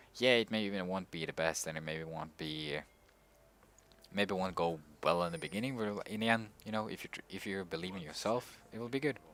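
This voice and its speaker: A man with a non-native accent talks at a fairly quick pace with ordinary pitch variation. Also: fairly low pitch for a man. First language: not English. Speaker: gaming streamer. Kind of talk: gameplay commentary. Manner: halting.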